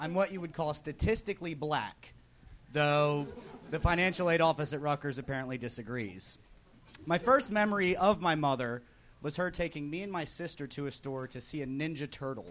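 A man speaks with an American accent at a fairly quick pace. He has a plain, everyday voice pitched fairly high. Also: lively intonation. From New Jersey, near Philadelphia. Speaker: amateur comedian, insurance salesman. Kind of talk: stand-up. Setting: stage with audience.

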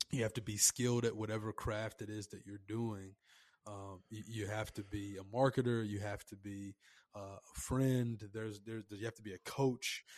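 A man talks at a moderate pace with a fairly low pitch and monotone, flat intonation. His loudness swings widely, and the sound is dry and close with no echo. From Nashville, Tennessee. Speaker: urban farming business owner. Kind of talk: casual interview chat.

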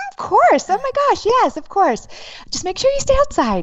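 Someone performs a put-on character voice with very wide pitch swings and big swings in loudness. The pace is moderate, with light background noise behind it. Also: woman, extremely high pitch for a woman. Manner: overly sweet, fake-agreeable.

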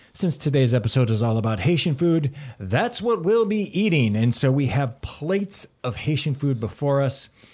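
In a very clean recording with a silent background, a man with a fairly high, somewhat breathy voice speaks at a moderate pace with hardly any pauses, very even loudness and very wide pitch swings. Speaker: podcast host. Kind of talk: casual chat. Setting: studio.

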